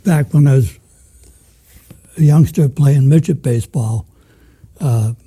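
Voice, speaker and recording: Somewhat breathy and fairly high-pitched, a man with an American accent speaks fairly slowly in a dark, mellow tone, with long, frequent pauses. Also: ordinary pitch variation. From Manchester, Massachusetts (North Shore). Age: 80s+. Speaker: retired journalist. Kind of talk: interview.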